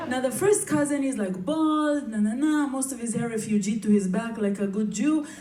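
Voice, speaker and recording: Against noticeable background noise and audible room echo, a woman with a fairly high pitch speaks at a moderate pace with lively intonation and hardly any pauses. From Israel. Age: 30s. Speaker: comedian. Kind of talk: stand-up. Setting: stage with audience.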